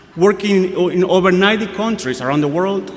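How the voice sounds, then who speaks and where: A man with a Guatemalan accent talks at a moderate pace in a high voice with lively intonation, with audible room echo and noticeable background noise. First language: Spanish. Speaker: priest. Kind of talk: sermon. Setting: church.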